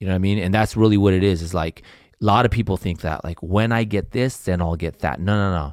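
A man with an American accent speaks at a very fast pace with a very deep, low pitch and ordinary pitch variation. The recording is very clean with a silent background. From California central coast. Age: 40s. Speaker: entrepreneur and financial planner. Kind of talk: casual interview chat.

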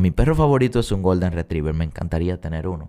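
A man speaks at a very deep, low pitch in a dark, mellow tone. The recording is very clean, with a silent background. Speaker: self-help podcast host. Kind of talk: solo motivational monologue.

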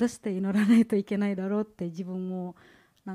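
Speaking in a flat monotone, a woman has a medium-pitched voice with a dark, mellow tone, recorded very cleanly against a silent background. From Indonesia. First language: Indonesian (speaking Japanese). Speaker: graduate student, church member giving testimony. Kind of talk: testimony. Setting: church service. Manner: halting.

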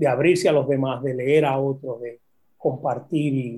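Fairly high for a man, his voice is dark and mellow, somewhat breathy, with fairly even intonation. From Puerto Rico. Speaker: poet and university professor. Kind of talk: casual interview.

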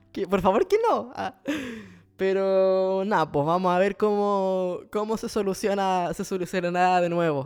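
Someone with a Chilean accent speaks at a fairly slow pace in an animated tone, in a very clean recording with a silent background. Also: man. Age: 20s. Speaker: podcast host. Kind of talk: casual monologue. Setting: at home.

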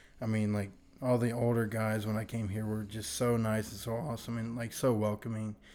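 Dark and mellow in tone, a man of medium pitch talks at a fairly quick pace in a flat monotone. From Virginia. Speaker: college student church volunteer. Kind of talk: testimony.

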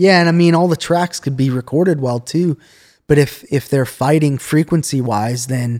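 A man's ordinary speaking voice, fairly high in pitch, at a moderate pace with ordinary pitch variation, in a dry, close sound with no echo. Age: 30s. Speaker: music producer and studio intern. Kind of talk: casual chat.

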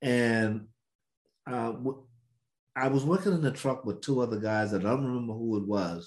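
The speaker has an American accent and a moderate pace. Pitch varies in an ordinary way, with long, frequent pauses. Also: man, medium pitch for a man. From US South, Mississippi. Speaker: civil rights veteran and podcast co-host. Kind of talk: storytelling.

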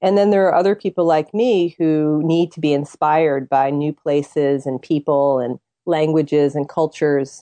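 Recorded dry and close with no echo, a woman talks in a very deep, low voice with a dark, mellow tone, ordinary pitch variation and hardly any pauses. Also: moderate pace. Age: 40s. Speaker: tarot reader and author. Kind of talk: interview.

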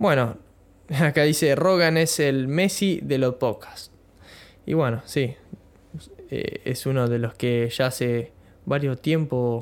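A man's fairly high voice at a very slow pace, with long, frequent pauses, very even loudness and ordinary pitch variation. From Argentina, Bahía Blanca (Buenos Aires province). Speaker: podcaster. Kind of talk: casual monologue. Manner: halting, many fillers.

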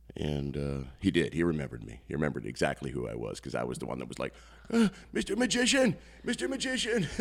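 Very fast speech from a man, loudness rising and falling in big swings. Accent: Midwestern US. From northeast Iowa (Postville). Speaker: comedian-magician. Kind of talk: casual interview.

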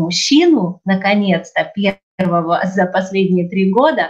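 Very slowly, a woman talks in a somewhat breathy, medium-pitched voice. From Ukraine. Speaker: theatre studio director, trained TV presenter and actress. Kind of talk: casual interview conversation. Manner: animated.

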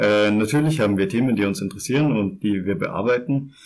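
Here is a man with an ordinary speaking voice and lively intonation. His pitch is medium and his pace moderate. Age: 20s. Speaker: podcast co-host. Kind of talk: casual chat.

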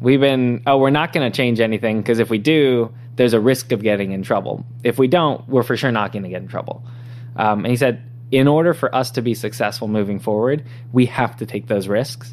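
With fairly even intonation, a man in a normal speaking voice talks at a medium pitch. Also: fairly quick pace. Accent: American. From Southern California (San Diego). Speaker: tech startup founder and CEO. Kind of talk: interview.

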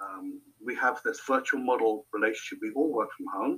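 Moderate pace in a southern British accent. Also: man. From Hampshire, England. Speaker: marketing agency owner. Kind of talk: casual interview.

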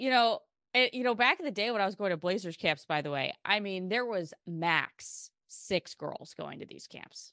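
A woman with an American accent has an ordinary speaking voice at medium pitch, with lively intonation and big swings in loudness. She speaks at a fairly slow pace, the sound dry and close with no echo against a quiet background. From Portland, Oregon. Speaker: TV sports anchor and reporter. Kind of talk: casual chat.

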